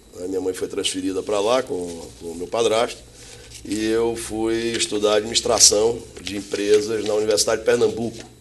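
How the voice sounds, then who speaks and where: With noticeable background noise behind him, a man talks at a moderate pace with lively intonation. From northeastern Brazil (Salvador, Bahia; teens in Recife). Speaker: logistics company executive. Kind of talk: interview.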